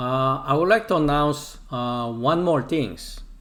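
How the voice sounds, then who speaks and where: Very slowly, a man with a Korean accent talks at a fairly high pitch, with lively intonation. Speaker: Bible language teacher. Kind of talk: lecture. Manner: halting, many fillers.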